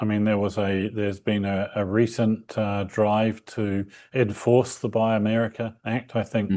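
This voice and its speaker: Against a quiet background, the speaker talks at a moderate pace with a New Zealand accent. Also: man. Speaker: company representative being interviewed. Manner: hesitant, many fillers.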